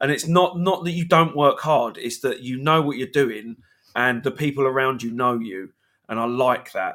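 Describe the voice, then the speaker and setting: In a very clean recording with a silent background, a man with a British accent talks at a moderate pace, his medium pitch and bright, sharp tone carrying ordinary pitch variation. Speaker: podcast co-host. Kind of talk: live-streamed casual chat.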